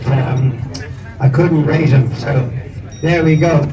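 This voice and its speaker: A man with a Northern Irish accent speaks at a fairly slow pace in a flat monotone, his pitch fairly high for a man, with noticeable background noise and audible room echo. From Northern Ireland. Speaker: motorcycle museum host. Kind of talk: casual chat.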